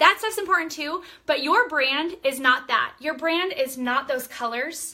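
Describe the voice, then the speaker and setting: Raising and projecting her voice, a woman speaks at a moderate pace with an animated, bright, sharp tone. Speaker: direct sales team leader. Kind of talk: live-stream training talk. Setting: live video stream. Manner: loud, animated.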